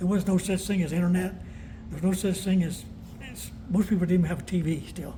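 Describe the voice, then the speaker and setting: A man with a Southern US accent speaks very fast at a high pitch, in a monotone, flat intonation. He leaves long, frequent pauses. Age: 70s. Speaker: war veteran. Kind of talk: interview. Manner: halting.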